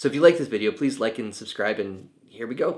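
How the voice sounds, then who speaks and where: At a very fast pace, a man speaks at a medium pitch. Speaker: youtuber teaching home recording. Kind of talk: tutorial. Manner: soft-spoken.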